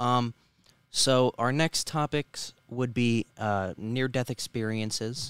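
The recording is very clean with a silent background, the sound dry and close with no echo, and the pitch varies in an ordinary way. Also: man. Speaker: podcast co-host. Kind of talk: casual podcast chat. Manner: halting, fillers.

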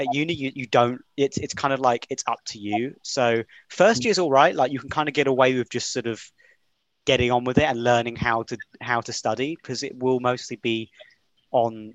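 A man speaks at a moderate pace in an unremarkable speaking voice, medium in pitch, with fairly even intonation. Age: 20s. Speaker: university student. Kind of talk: casual chat.

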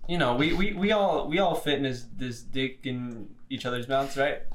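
The speech is fairly slow, with noticeable background noise behind it. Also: man. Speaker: podcast co-host. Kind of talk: casual banter. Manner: stuttering, mispronounces words.

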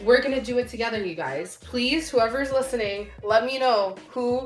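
A woman's fairly high voice at a moderate pace, with lively intonation and noticeable background noise. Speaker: podcast co-host. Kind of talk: casual chat.

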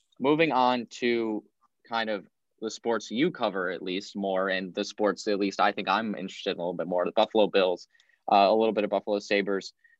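Fairly low male voice with an American accent, a normal speaking voice, fairly quick in pace, with ordinary pitch variation. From Rochester, New York. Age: 20s. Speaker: student radio host. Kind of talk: casual interview.

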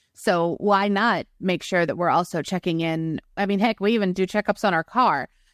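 At a medium pitch, a woman speaks with ordinary pitch variation. Her moderate pace has hardly any pauses. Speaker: podcast host, blogger. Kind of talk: casual interview chat. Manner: talkative, animated.

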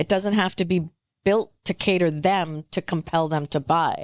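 At a moderate pace, a woman with a normal speaking voice, medium pitch and a Canadian accent is heard in a dry, close sound with no echo against a quiet background. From Metro Vancouver, Canada. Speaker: real estate consultant. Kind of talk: casual chat.

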